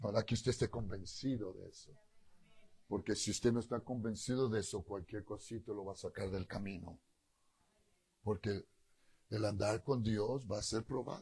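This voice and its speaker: Somewhat breathy and dark, mellow in tone, a man with a fairly low pitch speaks at a moderate pace with fairly even intonation, big swings in loudness and long, frequent pauses. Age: 60s. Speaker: pastor. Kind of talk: sermon. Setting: church.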